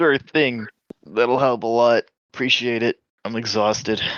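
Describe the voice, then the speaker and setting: A man's raspy, put-on character voice at medium pitch and a moderate pace. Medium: actual play.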